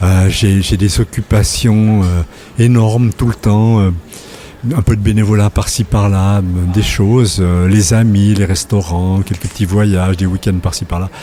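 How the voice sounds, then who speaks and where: A man speaks at a fairly slow pace with a fairly low pitch, fairly even intonation and very even loudness. There is noticeable background noise. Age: 60s. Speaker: retired journalist. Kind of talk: casual interview chat. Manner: hesitant, many repetitions.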